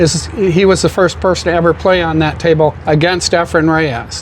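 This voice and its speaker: A man with an Upper Midwest accent speaks fairly quickly at a high pitch and fairly even intonation over noticeable background noise. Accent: Upper Midwest American. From Michigan. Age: 70s. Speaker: pool hall owner. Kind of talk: casual interview.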